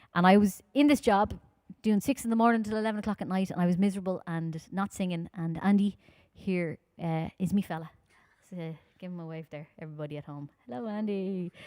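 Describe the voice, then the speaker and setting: In a very clean recording with a silent background and a dry, close sound with no echo, a woman speaks at a fairly low pitch with ordinary pitch variation. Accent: Dublin. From Ireland, Dublin. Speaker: folk singer. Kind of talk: live-streamed concert talk between songs. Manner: fast.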